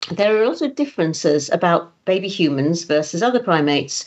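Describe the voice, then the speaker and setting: Her voice swings very widely in pitch as the woman speaks. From Greece. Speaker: talk host and Q&A moderator. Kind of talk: Q&A moderation.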